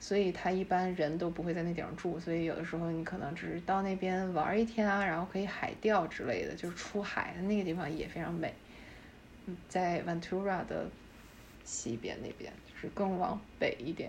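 Audible room echo colors the fairly low voice of a woman who speaks at a moderate pace with fairly even intonation. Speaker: architecture industry professional. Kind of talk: casual chat.

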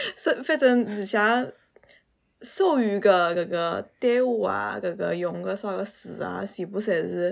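A woman speaks at a very slow pace in a very clean recording with a silent background. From Suzhou, Jiangsu, China. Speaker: podcast guest. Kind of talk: casual chat.

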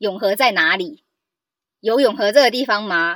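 A woman with a plain, everyday voice speaks at a fairly quick pace in a fairly high pitch with lively intonation, on a very clean recording with a silent background. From Taiwan, Hakka family. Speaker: podcast guest. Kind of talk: casual chat.

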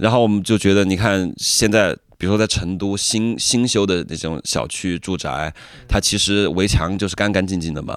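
Recorded very cleanly against a silent background, a man with a normal speaking voice talks at a moderate pace with fairly even intonation. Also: fairly low pitch for a man. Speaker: rapper. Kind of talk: interview conversation.

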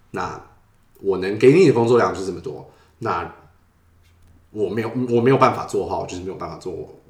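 Speaking at a fairly quick pace with a medium pitch, a man uses lively intonation and big swings in loudness. His long, frequent pauses come through with audible room echo. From Taiwan. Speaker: user experience designer. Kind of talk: interview.

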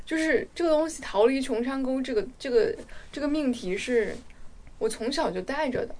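A woman's high-pitched voice at a moderate pace, with very wide pitch swings and big swings in loudness. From Guizhou, China. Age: 30s. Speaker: podcast co-host. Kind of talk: casual chat.

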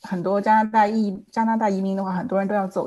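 A fairly quick, somewhat breathy woman's voice of medium pitch, dark and mellow in tone, against a quiet background. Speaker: licensed immigration consultant. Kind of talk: panel discussion. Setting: video call.

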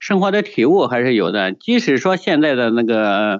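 A man is speaking. His pitch swings very widely. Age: 50s. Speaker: poet and food delivery rider. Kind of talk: interview. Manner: halting, many fillers.

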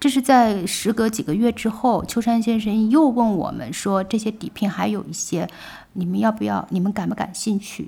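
A woman's fairly high, somewhat breathy voice with a dark, mellow tone at a moderate pace, in a very clean recording with a silent background. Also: ordinary pitch variation. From China, Wuhan. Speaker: publisher. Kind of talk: interview conversation. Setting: studio in old Shanghai house. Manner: frequent fillers and laughter.

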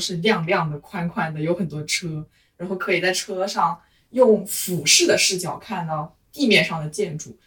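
A somewhat breathy female voice, fairly low in pitch, with ordinary pitch variation. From Hunan, China. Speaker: office worker. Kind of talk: casual chat.

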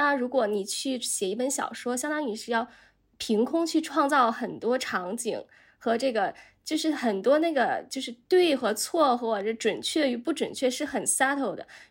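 A woman's high voice with lively intonation at a moderate pace, on a very clean recording with a silent background. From China. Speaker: journalist. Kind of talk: casual chat.

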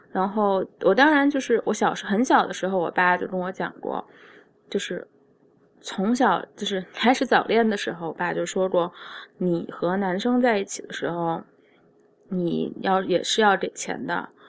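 A woman speaks with a medium pitch. Her pace is moderate and her pitch variation ordinary. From China. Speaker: podcast host, illustrator and restaurant manager. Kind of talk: solo monologue podcast. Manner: halting, many fillers.

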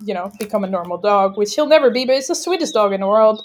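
A Dutch accent with ordinary pitch variation. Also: woman. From Netherlands. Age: 30s. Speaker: veterinary student. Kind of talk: casual chat. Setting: at her parents' house. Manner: fast.

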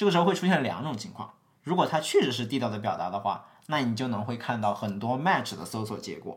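Speaking fairly quickly with lively intonation, a man has a plain, everyday voice at a medium pitch. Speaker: podcast co-host, tech worker. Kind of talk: casual chat.

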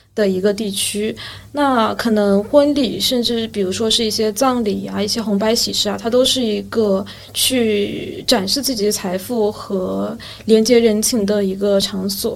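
Against noticeable background noise, a woman talks at a fairly slow pace in a fairly high pitch with fairly even intonation. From Yueqing, Wenzhou, Zhejiang, China. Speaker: podcast host. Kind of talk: casual chat.

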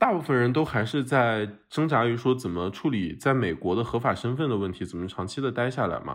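Someone with an unremarkable speaking voice talks at a fairly quick pace. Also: man. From Shanxi, northern China. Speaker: podcast host. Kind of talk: casual chat. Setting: remote recording, three locations.

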